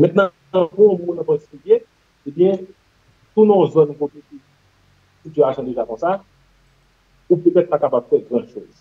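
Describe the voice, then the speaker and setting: Speaking at a moderate pace with a Haitian accent, the voice has ordinary pitch variation, big swings in loudness, and long, frequent pauses. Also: man, high pitch for a man. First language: Haitian Creole (speaking French). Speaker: general practitioner; guest. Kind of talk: interview. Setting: studio. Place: home room. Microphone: video call.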